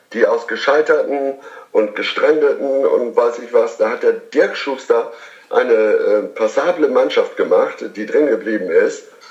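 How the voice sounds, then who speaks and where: There's noticeable background noise in the clip. Through it, a man speaks fairly slowly. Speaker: TV field reporter. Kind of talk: casual chat.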